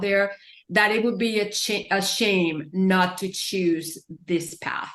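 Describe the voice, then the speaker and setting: Against noticeable background noise, a woman with a Spanish accent speaks slowly in a medium pitch with monotone, flat intonation. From Puerto Rico. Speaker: author and parenting expert. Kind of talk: interview.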